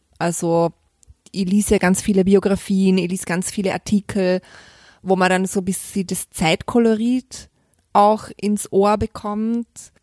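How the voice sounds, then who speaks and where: Delivered at a fairly slow pace, the voice is monotone and flat, with a dry, close sound and no echo. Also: woman, medium pitch for a woman. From Vorarlberg, western Austria. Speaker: crime novelist. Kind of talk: interview. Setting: hotel.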